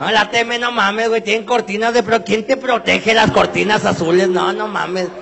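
A man speaks in a high voice with hardly any pauses over noticeable background noise. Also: moderate pace. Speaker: comedian. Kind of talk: stand-up. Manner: animated.

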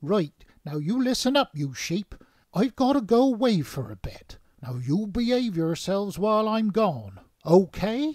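A man does a cartoonish character voice at a moderate pace. His pitch sits high. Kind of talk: comic sketch dialogue. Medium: puppet show. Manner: blunt, down-to-earth. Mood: excited then bossy.

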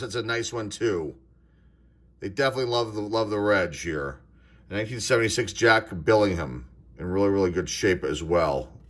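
With an American accent, a man speaks at a fairly slow pace in an enthusiastic, animated, bright and sharp tone. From Pittsburgh, US. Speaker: sports card collector YouTuber. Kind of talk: card box opening video. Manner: frequent fillers and hesitations. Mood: relaxed, mildly enthusiastic. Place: home room. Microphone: phone near.

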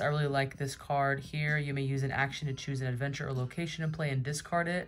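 A woman talks in a very deep, low pitch. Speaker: card collector youtuber. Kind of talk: casual vlog chat. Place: home room.

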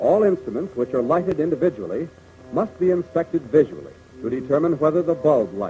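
With faint music in the background, a man talks at a fairly quick pace, with fairly high pitch and lively intonation. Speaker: film narrator. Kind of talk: 1940s military training film narration. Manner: formal, brisk, authoritative, measured; didactic, clipped, earnest. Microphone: old recording.

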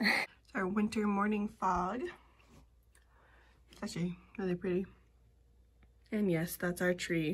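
A woman speaks fairly slowly in a somewhat breathy voice. Her intonation is fairly even, with long, frequent pauses. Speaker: family vlogger. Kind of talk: casual vlog talk. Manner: halting, many fillers. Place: open country. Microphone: phone near.

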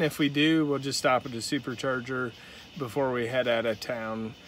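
There is light background noise as a man speaks with ordinary pitch variation, the sound dry with no echo. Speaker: car vlogger. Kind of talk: casual vlog chat. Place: car. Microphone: phone near.

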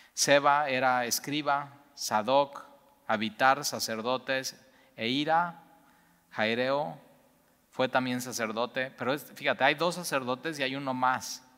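A man with a Mexican accent speaks in a bright, sharp tone with fairly even intonation. His pace is very slow, with long, frequent pauses, against a quiet background. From Mexico. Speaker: Bible teacher. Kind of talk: Bible study teaching. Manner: conversational, many fillers. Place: church.

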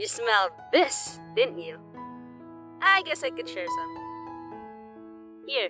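A put-on character voice is pitched fairly high. Clear music plays in the background. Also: fairly slow pace. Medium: dub.

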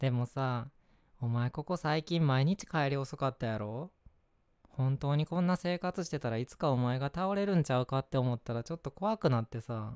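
On a very clean recording with a silent background and a dry, close sound with no echo, a man speaks in a gentle tone at medium pitch with ordinary pitch variation. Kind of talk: scripted ASMR role-play, acting a worried boyfriend. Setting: home-recorded ASMR video. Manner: heated, scolding, irritated and worried, rapid Kansai-dialect nagging; turns gentle, apologetic and soft after the outburst.

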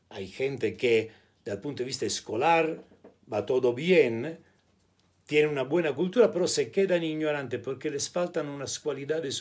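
A man talks with a noticeable vocal fry. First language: Italian (speaking Spanish). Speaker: spiritual teacher / video blogger; commentator. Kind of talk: monologue to camera. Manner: hesitant, mixes Spanish and Italian. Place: home room. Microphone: phone near.

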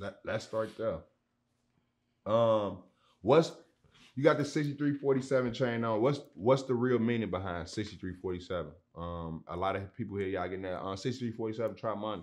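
With an American accent and a fairly low pitch, a man talks at a fairly quick pace with lively intonation over a quiet background. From Chicago South Side; Chicago. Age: 30s. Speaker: podcast host. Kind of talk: casual interview. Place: studio.

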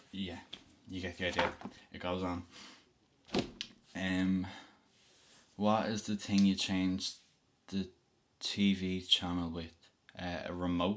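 A man with a Dublin accent speaks very slowly in a very deep, low pitch, his intonation monotone and flat. Long, frequent pauses break up his speech over light background noise. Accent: Dublin Irish. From Dublin, Ireland. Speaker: vlogger. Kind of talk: casual talk to camera. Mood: relaxed, playful. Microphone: webcam.

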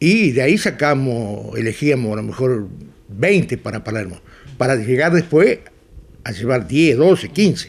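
A man talks at a fairly slow pace in a Rioplatense accent. His voice has vocal fry and very wide pitch swings. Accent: Argentine rioplatense Spanish. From Argentina, Pampas (Chañar Ladeado, Santa Fe). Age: 70s. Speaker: pig breeder and livestock judge. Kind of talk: interview. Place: home room.

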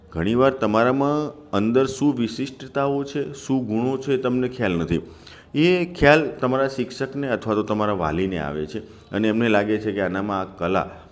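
Lively in intonation, a man with a medium pitch speaks in a plain, everyday voice. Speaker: music teacher. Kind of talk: tutorial.

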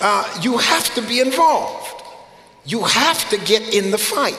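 Room echo is audible around a man's voice, with light background noise. His intonation is lively. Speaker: preacher. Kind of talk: sermon. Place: church. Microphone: headset.

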